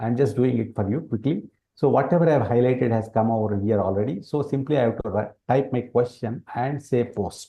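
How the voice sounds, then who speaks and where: A man with a Telugu accent talks at a fairly quick pace in a somewhat breathy voice. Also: medium pitch for a man, ordinary pitch variation, hardly any pauses. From India, Telangana. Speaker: educational product presenter. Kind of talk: product demonstration. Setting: webinar.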